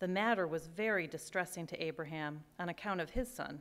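The woman keeps a moderate pace. Her pitch varies in an ordinary way. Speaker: scripture reader. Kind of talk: scripture reading. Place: church.

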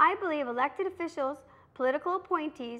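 Bright, sharp tone with lively intonation. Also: woman. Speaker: local TV commentary host. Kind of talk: prepared political commentary. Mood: earnest, critical. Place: studio.

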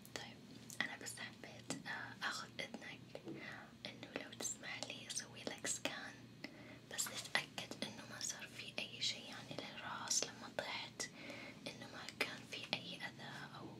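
Over loud background noise, a soft-spoken voice with a gentle tone talks at a fairly slow pace. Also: woman. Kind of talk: role-play bedside talk to viewer. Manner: soft, gentle ASMR doctor voice.

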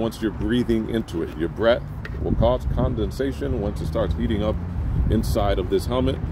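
Noticeable background noise surrounds a man's voice, which sounds dry with no echo. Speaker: product reviewer. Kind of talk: product review talk. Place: garden.

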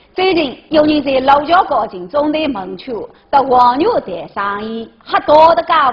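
In a Zhejiang accent, the speaker goes at a fairly slow pace with hardly any pauses, pitch swinging very widely and loudness varying greatly. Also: woman, high pitch for a woman. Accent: Taizhou Wu dialect. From Taizhou, Zhejiang. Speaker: news show co-host. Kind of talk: news presenting in local dialect. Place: studio.

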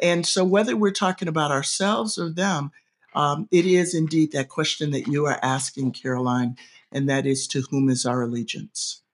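A woman with a very deep, low pitch, lively intonation and a moderate pace. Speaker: seminary professor, podcast co-host. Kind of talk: casual scholarly discussion of scripture. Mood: earnest, thoughtful. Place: home room. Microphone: video call.

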